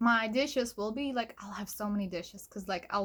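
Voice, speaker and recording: In a very clean recording with a silent background, a woman with an ordinary speaking voice talks at a fairly quick pace with ordinary pitch variation. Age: 30s. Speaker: vlogger. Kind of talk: personal vlog. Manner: casual, filler-heavy.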